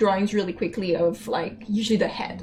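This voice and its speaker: A woman speaks with a Quebec accent at a moderate pace. Music plays in the background. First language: French. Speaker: game animator. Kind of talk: casual chat. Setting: live stream. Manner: halting.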